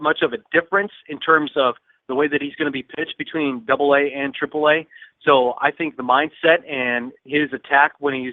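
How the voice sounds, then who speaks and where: An ordinary speaking voice from a man, fairly high in pitch, at a fairly quick pace with fairly even intonation. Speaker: minor league baseball broadcaster guest. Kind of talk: casual baseball commentary.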